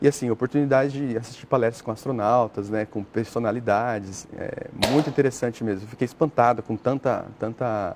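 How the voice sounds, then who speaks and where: This man talks at a fairly quick clip, with a medium pitch and fairly even intonation. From Brazil, São Paulo state. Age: 30s. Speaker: astrobiologist, NASA researcher. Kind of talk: TV interview. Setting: TV studio. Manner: hesitant, filler-heavy (né).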